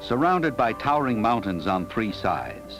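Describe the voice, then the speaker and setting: A man speaks at a moderate pace with a fairly low pitch and very wide pitch swings. Music plays in the background. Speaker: narrator. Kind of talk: documentary narration. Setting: studio.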